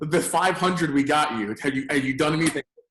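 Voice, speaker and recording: A man speaks loud at a very fast pace. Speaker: lead generation business owner. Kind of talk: casual interview. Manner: animated.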